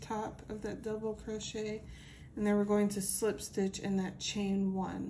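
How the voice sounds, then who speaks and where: In a room with audible echo, a woman speaks very slowly at a medium pitch, her somewhat breathy voice dark and mellow in tone and her intonation monotone and flat. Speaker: crochet tutorial creator. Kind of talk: tutorial. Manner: casual.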